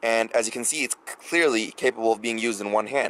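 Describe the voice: A man speaks fast at medium pitch, with a fairly bright tone.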